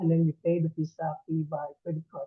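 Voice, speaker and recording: At a moderate pace, a man with an Indonesian accent talks at a fairly high pitch. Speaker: immigration official. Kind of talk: presentation. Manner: halting.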